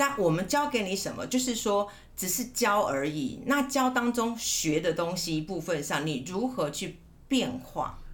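Audible room echo surrounds a woman talking at a fairly slow pace, her medium pitch moving in very wide swings. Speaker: teacher and counselor. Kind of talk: casual chat. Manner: clear articulation.

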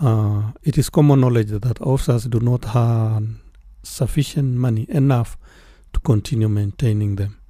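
Somewhat breathy, a man with a medium pitch and a dark, mellow tone talks at a moderate pace with fairly even intonation. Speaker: police oversight official. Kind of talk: radio interview.

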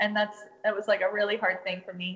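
She speaks with an American accent. Her pitch is medium for a woman. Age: 20s. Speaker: small business owner and photographer. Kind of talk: casual interview. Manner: hesitant with fillers.

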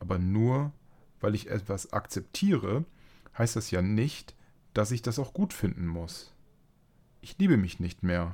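Speaking at a very slow pace, a man uses lively intonation and a fairly low pitch. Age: 30s. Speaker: podcast host living with multiple sclerosis. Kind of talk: reading aloud; casual chat.

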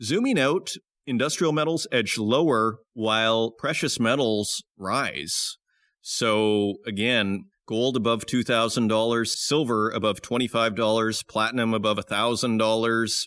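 On a very clean recording with a silent background, a man with an ordinary speaking voice talks at medium pitch and a fairly slow pace, keeping very even loudness and ordinary pitch variation. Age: 40s. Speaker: mining podcast host. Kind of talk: podcast interview and news commentary.

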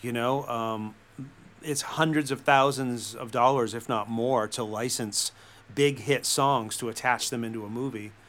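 In a normal speaking voice, a man talks at a fairly slow pace with a medium pitch and fairly even intonation. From US Northeast, central Massachusetts. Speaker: film and TV composer and songwriter. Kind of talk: interview conversation.

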